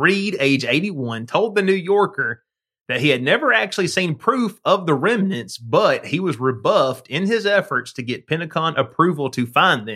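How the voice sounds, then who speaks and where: With a bright, sharp tone and a high pitch, a man talks at a moderate pace, his pitch swinging very widely. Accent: Southern US. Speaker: podcast co-host. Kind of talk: casual chat. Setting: studio. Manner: laughs often.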